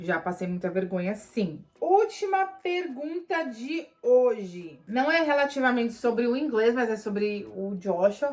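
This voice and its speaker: Against noticeable background noise, a woman with a Paulista accent talks in an animated tone, her fairly high pitch making very wide swings. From Brazil, São Paulo. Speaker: vlogger. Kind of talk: Q&A vlog.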